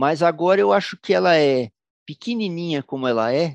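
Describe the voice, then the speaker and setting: A man with a São Paulo accent and lively intonation at a moderate pace, in a dry, close sound with no echo over a quiet background. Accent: Paulistano Brazilian Portuguese. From São Paulo, Brazil. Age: 60s. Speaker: musician. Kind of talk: interview storytelling.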